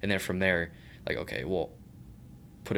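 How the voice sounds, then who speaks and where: With vocal fry and a very deep, low pitch, a man talks in a fairly even intonation. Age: young. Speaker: former baseball player. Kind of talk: casual chat. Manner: halting.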